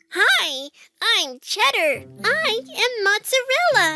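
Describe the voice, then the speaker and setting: A put-on character voice, squeaky and extremely high, with very wide pitch swings, a very slow pace and faint music in the background. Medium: read story.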